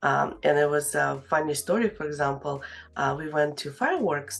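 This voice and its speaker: Speaking with a non-native accent, a woman has a very deep, low voice. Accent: foreign accent, noticeable. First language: Russian. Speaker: real estate agent. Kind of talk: interview. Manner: halting, many fillers.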